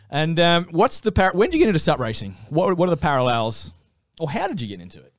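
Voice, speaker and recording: Talking at a very fast pace with an Australian accent, a man uses a fairly high pitch, very wide pitch swings and big swings in loudness. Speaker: podcast host. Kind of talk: casual interview. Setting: studio.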